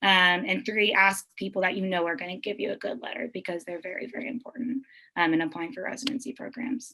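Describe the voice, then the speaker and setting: A woman with an American accent speaks at a very fast pace. Her tone is bright and sharp, with very wide pitch swings. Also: medium pitch for a woman. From Texas, Wharton. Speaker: family medicine physician. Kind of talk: talk to students.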